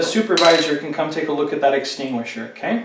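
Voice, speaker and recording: A man speaks with lively intonation. Noticeable background noise is present. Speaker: fire safety instructor. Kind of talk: instructional tutorial demonstration. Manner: conversational, explanatory.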